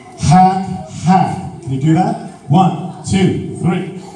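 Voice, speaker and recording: A man talks in a room with audible echo. Light background noise is present. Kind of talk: instructions to audience. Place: hall.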